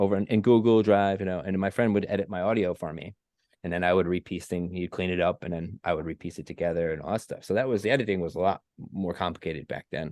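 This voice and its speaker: A man at a fairly low pitch and a very fast pace, in a dry, close sound with no echo over a quiet background. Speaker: podcast host. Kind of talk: casual chat.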